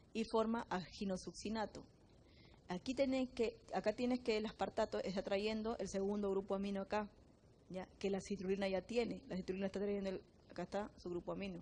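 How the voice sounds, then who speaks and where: A woman talks at a medium pitch and a fairly quick pace. Her dark, mellow tone carries fairly even intonation. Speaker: biochemistry teacher. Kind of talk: lecture. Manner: fast.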